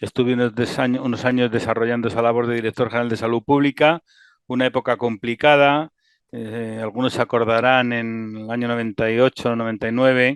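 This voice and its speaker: Against a quiet background, a man speaks at a medium pitch with monotone, flat intonation, the sound dry and close with no echo. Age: 60s. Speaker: physician and health IT executive. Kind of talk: interview.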